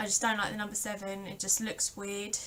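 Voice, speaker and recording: A woman of medium pitch speaks at a moderate pace with a bright, sharp tone. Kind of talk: casual talk to camera. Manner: rambling.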